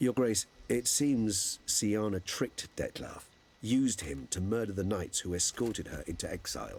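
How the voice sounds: A man puts on a character voice at a fairly low pitch and a fairly slow pace. His tone is slightly mellow with a slightly husky edge. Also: lively intonation.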